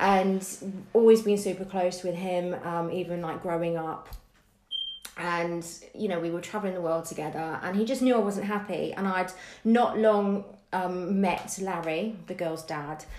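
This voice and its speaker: A woman with a southern English accent speaks at a fairly slow pace and medium pitch, her intonation fairly even. Room echo is audible, along with noticeable background noise. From southern England, Bournemouth area. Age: 40s. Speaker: dance teacher and podcast co-host. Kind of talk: casual interview.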